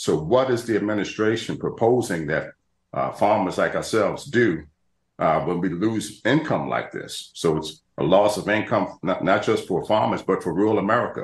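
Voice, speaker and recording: Somewhat breathy, fairly low male voice amid audible room echo. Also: moderate pace. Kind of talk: interview answer. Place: home room. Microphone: video call.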